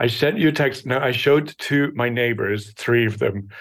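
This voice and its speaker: Speaking with an Irish accent, a man uses a medium pitch, ordinary pitch variation and a moderate pace. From Ireland. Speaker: recurring guest. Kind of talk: casual chat. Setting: video call.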